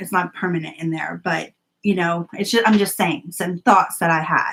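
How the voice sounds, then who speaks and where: Talking with a normal speaking voice, this woman keeps a moderate pace and her pitch varies in an ordinary way. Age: 40s. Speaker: planner vlogger. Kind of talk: live-stream chat. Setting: live video stream.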